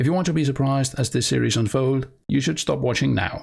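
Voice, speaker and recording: The recording is very clean with a silent background, and a man speaks at a medium pitch with a non-native accent. His pace is fairly quick, his pitch variation ordinary, and his voice somewhat breathy. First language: not English. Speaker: lore YouTuber. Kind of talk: video monologue about a planned series.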